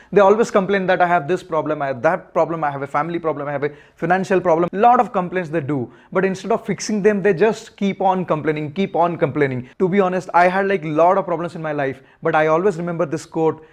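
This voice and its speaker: Very fast speech in an Odisha accent with ordinary pitch variation. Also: man, high pitch for a man. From India, Odisha (Puri). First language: Odia. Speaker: motorcycle vlogger. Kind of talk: public talk.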